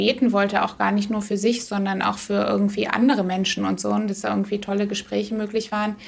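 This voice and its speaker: A woman's voice at a fairly quick pace. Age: 30s. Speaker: outreach worker with women in prostitution. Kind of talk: interview.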